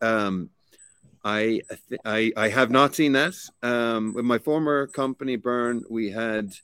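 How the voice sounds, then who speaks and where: A very slow man with a Limerick accent and ordinary pitch variation, on a very clean recording with a silent background and dry, close sound with no echo. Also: medium pitch for a man. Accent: Irish (Limerick). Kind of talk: interview.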